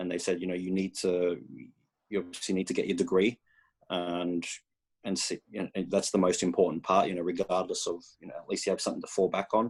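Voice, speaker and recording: Talking very fast with an Australian accent, a man keeps a monotone, flat delivery at a very deep, low pitch. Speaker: college soccer head coach. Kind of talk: interview. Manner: halting, many fillers.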